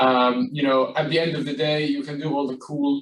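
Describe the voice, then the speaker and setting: This man speaks with an Arabic accent at a moderate pace. His fairly high voice stays in a monotone, flat intonation. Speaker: property company executive. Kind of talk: panel discussion. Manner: hesitant, many fillers.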